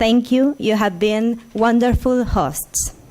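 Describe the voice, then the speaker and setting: Here a woman with a Spanish accent speaks in a fairly high pitch. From Argentina. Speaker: intellectual property lawyer. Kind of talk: conference talk. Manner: halting.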